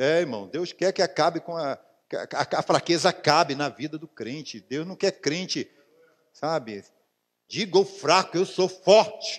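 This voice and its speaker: Fairly slow and marked by long, frequent pauses, a man talks at a high pitch with ordinary pitch variation. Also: quiet background. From Brazil. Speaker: pastor. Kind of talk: sermon. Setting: church. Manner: animated, fervent, exclaiming repeated hallelujahs; colloquial, preaching with personal anecdotes and direct address to the congregation. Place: church.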